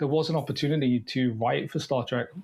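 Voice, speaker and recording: Amid noticeable background noise, a man talks fairly quickly at a medium pitch with ordinary pitch variation. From Devon, southwest England. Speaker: writer and filmmaker. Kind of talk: interview conversation. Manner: halting, many fillers and repeats.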